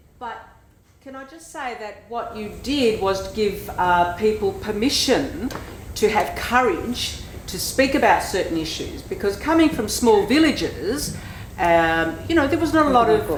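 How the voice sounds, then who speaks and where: Over noticeable background noise and audible room echo, a woman speaks fairly slowly in a fairly high pitch, with very wide pitch swings and big swings in loudness. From Australia, Greek family. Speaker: audience member. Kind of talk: audience question.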